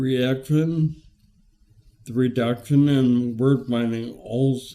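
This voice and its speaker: This man's voice sits at a medium pitch, rising and falling in an ordinary way. He talks very slowly. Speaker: retired teacher, patient with ataxia. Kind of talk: testimony. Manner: halting, with fillers.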